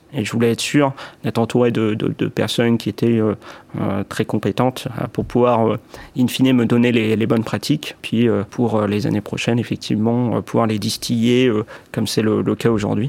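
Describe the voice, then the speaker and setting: A man speaks at a medium pitch with monotone, flat intonation. He keeps a moderate pace. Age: 20s. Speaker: key account manager. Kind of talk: testimony. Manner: hesitant, many fillers and repetitions.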